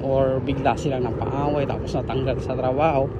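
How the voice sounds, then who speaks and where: A man with a medium pitch speaks at a moderate pace. The recording has audible room echo and noticeable background noise. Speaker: vlogger. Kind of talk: casual vlog narration. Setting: outdoors, walking. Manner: softer, lowered voice.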